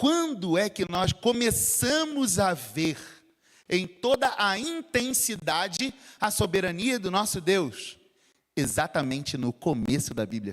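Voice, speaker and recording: A man with a Rio de Janeiro accent speaks at a high pitch and a very slow pace. His pitch swings very widely. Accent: carioca (Rio). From Rio de Janeiro, Brazil. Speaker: pastor. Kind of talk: sermon. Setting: church.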